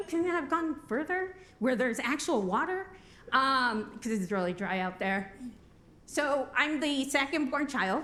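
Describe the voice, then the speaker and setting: A woman speaks at a fairly slow pace with very wide pitch swings. Audible room echo surrounds her voice. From Albuquerque, New Mexico. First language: Spanish. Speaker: recovery program coordinator. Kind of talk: conference talk. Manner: casual, joking.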